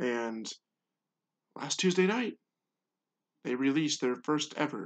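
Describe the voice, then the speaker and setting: Speaking very slowly, the man has a fairly high pitch. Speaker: sports podcaster. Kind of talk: casual solo podcast. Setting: home computer recording. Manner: monotone. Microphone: close to the microphone, computer recording.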